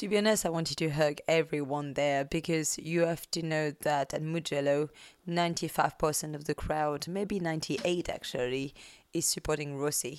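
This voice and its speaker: In a French accent, a woman speaks at a moderate pace with a very deep, low pitch and fairly even intonation. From France.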